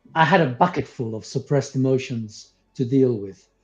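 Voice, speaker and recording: A man speaks with a non-native accent. Music plays in the background. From came to the UK at eleven from abroad. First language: not English. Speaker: spiritual teacher, former psychotherapist. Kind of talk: interview conversation. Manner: halting, with fillers.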